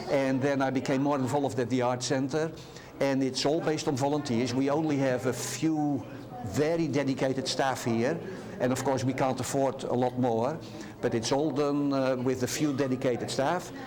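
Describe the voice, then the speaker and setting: A man with a Dutch accent at a moderate pace, fairly even intonation and very even loudness, with audible room echo and noticeable background noise. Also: medium pitch for a man. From Netherlands. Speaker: art center volunteer. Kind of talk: interview. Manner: halting.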